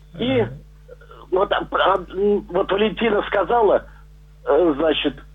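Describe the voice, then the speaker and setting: Noticeable background noise sits behind a man who talks at a very slow pace with lively intonation. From Kuban, Russia; raised Leningrad. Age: 70s. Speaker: caller, recovering alcoholic. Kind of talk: call-in comment. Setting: phone call.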